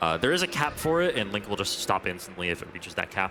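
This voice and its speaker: A man's speech has ordinary pitch variation, with noticeable noise in the background. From New England. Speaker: speedrun commentator. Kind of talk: live commentary. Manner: halting, many fillers.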